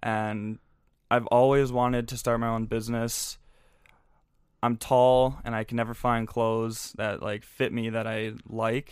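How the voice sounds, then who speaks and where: A man with a Minnesota accent speaks at a fairly slow pace in a medium pitch, his intonation monotone and flat, on a very clean recording with a silent background. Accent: Upper Midwest (Minnesota) American. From Minnesota, Twin Cities. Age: 20s. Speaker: clothing brand founder and social media coordinator. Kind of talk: casual interview chat.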